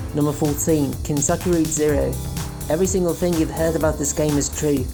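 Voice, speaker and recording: Music plays in the background while the words come at a very fast pace. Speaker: artist and hobby video maker. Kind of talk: casual video game commentary.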